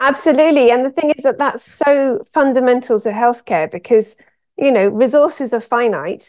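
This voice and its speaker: Her pitch is high, and the woman's intonation is lively. She keeps a moderate pace. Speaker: pathologist and author. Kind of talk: interview. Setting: video call.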